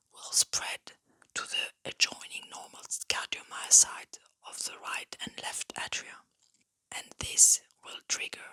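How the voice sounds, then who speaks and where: Whispering in a calm tone, the speaker moves at a fairly slow pace. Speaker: ASMR science educator. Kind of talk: educational ASMR lecture on heart physiology. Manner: soft-spoken, calm, relaxing.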